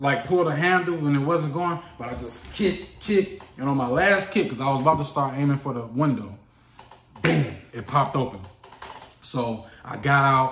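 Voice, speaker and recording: A man with a fairly high pitch speaks at a moderate pace with an American accent and lively intonation. Noticeable background noise and audible room echo fill the recording. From Chicago, US. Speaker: hotshot truck driver and vlogger. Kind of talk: casual vlog storytelling. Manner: animated.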